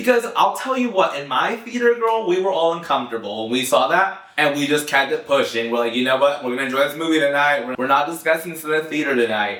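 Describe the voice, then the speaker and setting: The speaker races along very fast with hardly any pauses, an animated tone, and very wide pitch swings against noticeable background noise. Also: man. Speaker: pop culture commentator. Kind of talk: casual vlog commentary. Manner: animated, chatty.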